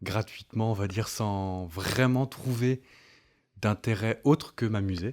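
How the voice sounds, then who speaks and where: The speech moves at a very slow pace, with ordinary pitch variation. The recording is very clean, with a silent background. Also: man, fairly low pitch for a man. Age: 30s. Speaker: content creator and communications freelancer. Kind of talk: interview. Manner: hesitant, many fillers.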